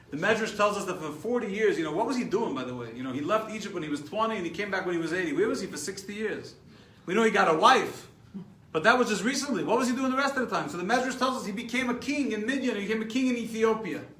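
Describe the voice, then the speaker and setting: A man with a high pitch and an American accent talks at a very fast pace in an animated tone with lively intonation, over noticeable background noise and audible room echo. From New York. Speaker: rabbi teaching a class. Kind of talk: lecture. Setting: live stream class.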